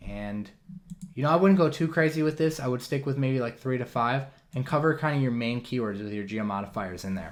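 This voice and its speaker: With an American accent, a man talks fairly quickly at a medium pitch, his intonation lively. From Wisconsin, US Midwest. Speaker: online marketing trainer. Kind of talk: webinar tutorial. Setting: live webinar broadcast. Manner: fast.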